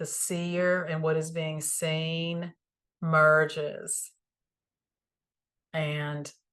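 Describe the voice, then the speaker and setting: A woman speaks with a Southern US accent in a very deep, low pitch and a calm tone, her intonation monotone and flat. Her pace is very slow, with long, frequent pauses. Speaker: spiritual teacher. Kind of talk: spiritual teaching talk. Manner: calm, reflective.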